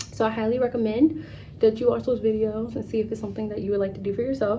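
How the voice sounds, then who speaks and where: A somewhat breathy woman talks at a very fast pace and a fairly high pitch. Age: 20s. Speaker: travel vlogger. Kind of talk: casual chat. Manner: animated.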